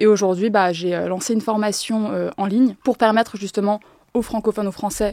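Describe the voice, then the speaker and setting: The sound is dry and close, with no echo. A woman speaks at a medium pitch and a fairly quick pace, her intonation fairly even. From France, with summers in Japan. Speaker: Japanese language teacher. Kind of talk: podcast interview. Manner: hesitant, many fillers.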